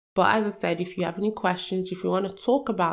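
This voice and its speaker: A woman's medium-pitched voice with vocal fry at a very fast pace. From Nigeria, emigrated to the UK. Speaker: podcast host and social commentator. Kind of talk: solo podcast monologue, personal commentary.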